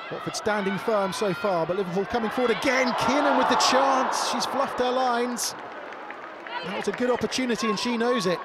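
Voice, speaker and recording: An animated man at an extremely high pitch, fairly quick in pace, with ordinary pitch variation and noticeable background noise. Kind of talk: live sports commentary. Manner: fast, animated play-by-play delivery; urgent, excitable at near-misses.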